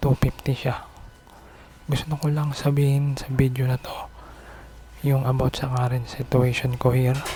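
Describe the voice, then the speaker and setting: Amid noticeable background noise, a man of medium pitch speaks fairly slowly in a flat monotone, with long, frequent pauses. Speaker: vlogger. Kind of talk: personal vlog monologue. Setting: outside a house at night. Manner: soft-spoken, can't speak loudly; halting.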